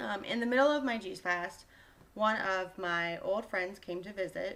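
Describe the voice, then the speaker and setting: In an ordinary speaking voice, a woman talks fairly slowly at a medium pitch with ordinary pitch variation. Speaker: health coach vlogger. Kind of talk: casual vlog monologue.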